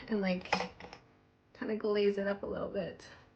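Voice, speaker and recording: Noticeable noise runs in the background. The woman talks at a moderate tempo. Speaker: beauty vlogger. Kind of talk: makeup tutorial.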